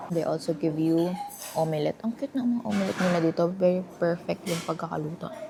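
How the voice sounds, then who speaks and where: A woman speaks very fast in a fairly low voice with lively intonation. Her loudness stays very even over noticeable background noise. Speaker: travel vlogger. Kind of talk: travel vlog. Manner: soft-spoken.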